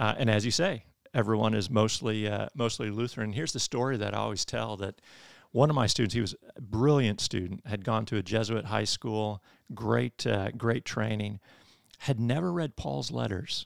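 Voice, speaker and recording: A man with an American accent and vocal fry talks at a moderate pace in a fairly low voice with ordinary pitch variation, captured in a very clean recording with a silent background and a dry, close sound with no echo. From Michigan. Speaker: theology professor and pastor. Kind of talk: interview on church history.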